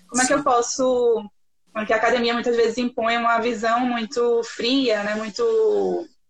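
The woman's pitch is fairly high. She keeps a moderate pace with monotone, flat intonation. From Recife, northeast Brazil. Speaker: podcast host, journalist. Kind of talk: casual chat.

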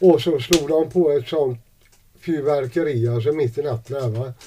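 A man speaks with a dark, mellow tone and a somewhat breathy quality. His intonation is fairly even. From Sweden, Gothenburg (Gamlestaden). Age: 60s. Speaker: homeless man. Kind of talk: interview testimony. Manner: halting.

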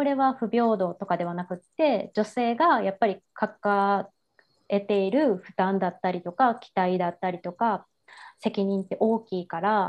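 A woman's medium-pitched voice, a plain, everyday voice, at a fairly slow pace with ordinary pitch variation. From Japan, Kansai. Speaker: women's support business founder. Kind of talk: interview.

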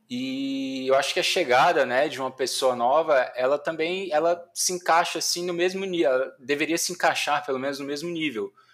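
A man with a normal speaking voice talks at a moderate pace, fairly high in pitch and with ordinary pitch variation. He hardly pauses, and the recording is very clean with a silent background. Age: 30s. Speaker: tech team leader. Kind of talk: casual chat.

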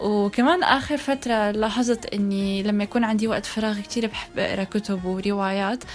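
With music playing behind, the speaker goes at a moderate pace with ordinary pitch variation. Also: woman. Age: 20s. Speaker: choir leader. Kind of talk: casual chat.

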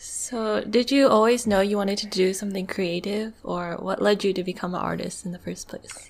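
This woman has a plain, everyday voice at medium pitch. Her pace is moderate, her intonation fairly even, with hardly any pauses. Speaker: podcast co-host. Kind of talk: casual interview.

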